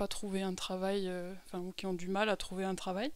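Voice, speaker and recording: The recording of a woman is very clean, with a silent background. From France (Lot-et-Garonne). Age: 30s. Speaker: humanitarian aid worker. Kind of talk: testimony. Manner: halting, many fillers.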